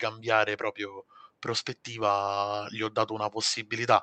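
The tone is bright and sharp. The sound is dry and close with no echo, over a quiet background. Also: man. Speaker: software developer. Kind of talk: interview. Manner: halting.

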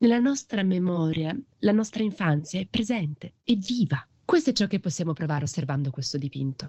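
At a fairly quick pace, a woman with a medium pitch, very wide pitch swings, and a dark, mellow, somewhat breathy tone speaks in a dry, close sound with no echo against a quiet background. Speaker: podcast narrator. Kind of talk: scripted narration.

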